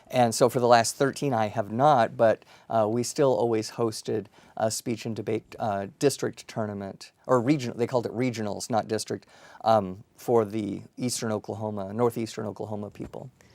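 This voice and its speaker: A man speaks at a moderate pace and medium pitch with fairly even intonation. The recording is very clean with a silent background. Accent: Colorado. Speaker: university dean. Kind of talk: interview.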